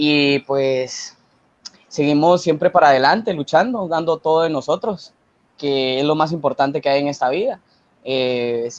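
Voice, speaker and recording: A man talks in an unremarkable speaking voice, fairly high in pitch, with ordinary pitch variation at a moderate pace. The sound is dry and close, with no echo. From Guatemala. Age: 20s. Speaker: university student. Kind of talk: interview.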